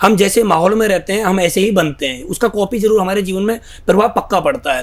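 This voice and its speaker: The man talks at a moderate pace in a high voice with ordinary pitch variation. There is noticeable background noise. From northern India, Greater Noida. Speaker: network marketing leader. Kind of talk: interview.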